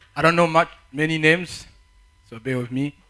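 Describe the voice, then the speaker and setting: Bright and sharp in tone, a man speaks at a moderate pace with a fairly high pitch. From Africa. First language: not English; English is fourth language. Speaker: conference speaker. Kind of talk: talk to youth audience. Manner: halting, repeats words.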